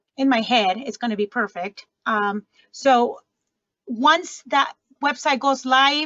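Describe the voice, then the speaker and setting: A woman's high-pitched voice. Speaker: program trainer for agency grantees. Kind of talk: online training webinar.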